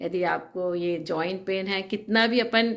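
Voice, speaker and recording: Fairly even intonation in a woman's medium-pitched speech. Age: 60s. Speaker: nurse giving a treatment testimonial. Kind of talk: testimony. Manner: halting, many filler sounds.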